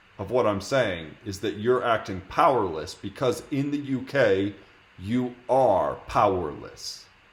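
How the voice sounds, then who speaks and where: With an American accent, a man of medium pitch speaks at a fairly slow pace, somewhat breathy and with lively intonation. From United States. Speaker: streamer debating strangers in video chat. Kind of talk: heated debate. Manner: argumentative, interrupting.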